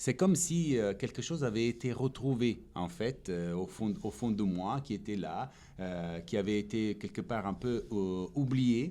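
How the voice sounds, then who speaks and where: The voice has a dark, mellow tone and an Italian accent, with very wide pitch swings. It moves at a fairly slow pace. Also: man, medium pitch for a man. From Italy. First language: Italian (speaking French). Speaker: stage actor. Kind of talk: interview. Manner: hesitant, many fillers.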